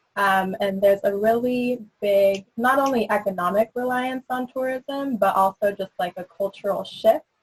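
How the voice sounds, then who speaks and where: With an American accent, a woman talks at a moderate pace and a fairly high pitch, her voice somewhat breathy. Her pitch varies in an ordinary way, and the sound is dry and close with no echo. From Northern California, Sonoma County. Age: 20s. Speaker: city council candidate. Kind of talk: candidate forum answer.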